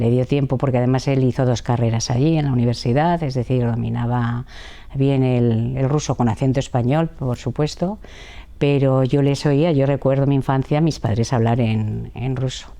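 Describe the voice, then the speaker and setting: Her pitch is very deep and low, and her tone dark and mellow, with fairly even intonation. This woman keeps a moderate pace and very even loudness. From Madrid, Spain. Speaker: interviewee on family history. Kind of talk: interview testimony. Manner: hesitant, with fillers.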